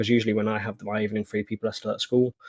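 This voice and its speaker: In a British accent, the voice carries fairly even intonation with a dry, close sound and no echo. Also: man. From Britain. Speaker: online gaming community leader. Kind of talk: interview.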